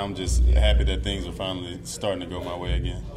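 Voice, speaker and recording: With an American accent, a man speaks at a fairly quick pace through noticeable background noise and audible room echo. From US South, Mississippi. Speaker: baseball pitcher. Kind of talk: interview. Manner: halting, many fillers.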